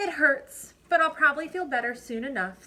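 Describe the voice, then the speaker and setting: A woman's high put-on character voice at a moderate pace. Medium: read story.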